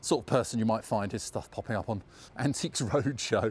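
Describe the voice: At a fairly quick pace, the voice has a slightly mellow tone and ordinary pitch variation. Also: man, fairly low pitch for a man.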